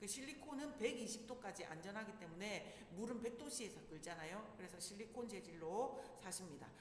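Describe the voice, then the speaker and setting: Animated, fairly high female speech at a moderate pace with lively intonation and hardly any pauses, over noticeable background noise with audible room echo. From Busan, South Korea. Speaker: parenting instructor. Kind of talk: lecture. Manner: conversational, animated.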